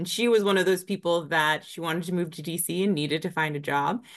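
With an American accent, a woman talks in an unremarkable speaking voice, her pitch fairly low. Intonation is fairly even, and the background is quiet. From Northern Virginia, US. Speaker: business development director. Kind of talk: interview.

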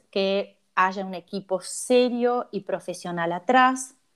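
This is a very clean recording with a silent background. The speech moves at a very slow pace. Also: woman. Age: 50s. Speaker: cosmetologist. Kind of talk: interview.

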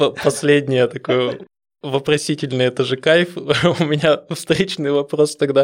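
A man with a fairly high pitch speaks very slowly in a fairly even intonation. The recording is very clean and the background silent. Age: 30s. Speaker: programmer, podcast guest. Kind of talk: casual chat.

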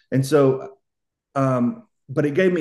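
A man with a Southern US accent speaks in a medium pitch with a dark, mellow tone. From US South. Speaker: author. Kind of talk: casual interview.

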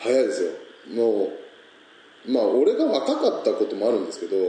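A man speaks in a space with audible room echo. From Niigata, Japan. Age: 20s. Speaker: peach farmer. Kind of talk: casual chat.

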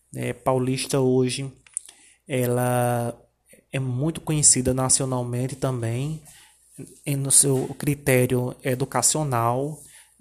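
The man's medium-pitched voice is a flat monotone. He goes very slowly, with long, frequent pauses. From Paraíba sertão, Brazil. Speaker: teacher. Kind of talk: informative presentation. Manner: halting, many filler 'é'.

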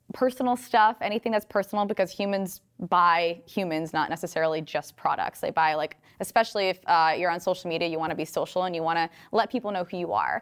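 A woman with a normal speaking voice, medium pitch, lively intonation, and a fairly quick pace. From Rhode Island, US. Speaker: fitness influencer and online entrepreneur. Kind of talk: interview.

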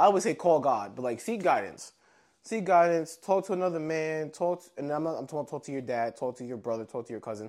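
On a very clean recording with a silent background, a man with an unremarkable speaking voice talks at a fairly quick pace in a fairly high pitch, his intonation lively and his loudness swinging widely. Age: 30s. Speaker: podcast co-host. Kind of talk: casual chat.

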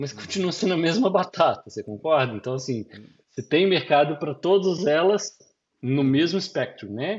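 A man's high-pitched voice with lively intonation. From Brazil. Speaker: business consultant and entrepreneur. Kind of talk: interview. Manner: halting.

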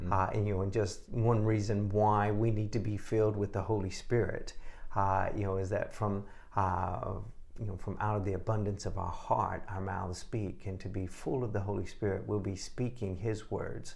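A man with a Southern US accent speaks at a fairly low pitch. His voice is somewhat breathy, with monotone, flat intonation. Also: moderate pace. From Texas. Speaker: testimony giver. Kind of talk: testimony.

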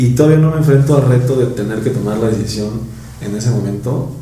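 Noticeable background noise sits behind a man's medium-pitched voice and lively intonation. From Mexico, Mexico City area. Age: 20s. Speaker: engineer and construction contractor. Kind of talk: casual interview chat.

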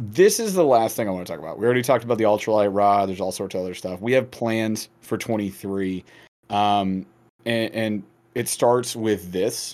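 A plain, everyday voice with fairly even intonation, recorded very cleanly against a silent background. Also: man, fairly low pitch for a man, fairly quick pace. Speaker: podcast host. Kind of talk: casual chat.

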